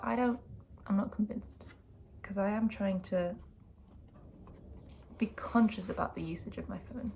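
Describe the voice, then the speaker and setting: A woman's dark, mellow voice at medium pitch carries vocal fry. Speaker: vlogger and sound artist. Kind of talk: casual vlog talk to camera. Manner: relaxed, informal.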